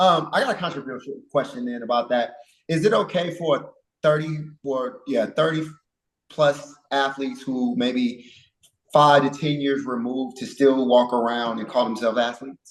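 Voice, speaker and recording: At a moderate pace, a man uses a normal speaking voice, fairly high in pitch, with ordinary pitch variation. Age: 40s. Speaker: podcast host and coach. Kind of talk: casual chat.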